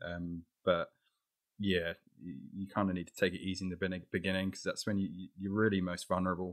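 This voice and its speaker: Fairly low in pitch, a man's voice is heard. He speaks at a very fast pace. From England. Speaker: paragliding filmmaker. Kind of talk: casual interview chat.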